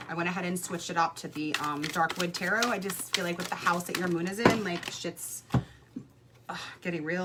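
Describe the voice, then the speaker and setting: A fairly low-pitched woman with an American accent, fairly quick and fairly even in intonation, over noticeable background noise. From Brooklyn, New York. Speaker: psychic tarot reader. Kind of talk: livestream card reading. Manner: casual, hesitant with many fillers.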